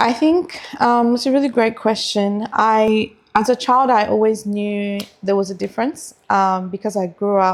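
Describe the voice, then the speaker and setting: At a moderate pace and with ordinary pitch variation, a woman speaks in a very clean recording with a silent background. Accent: Australian. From Australia. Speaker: lawyer and community advocate. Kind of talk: casual chat.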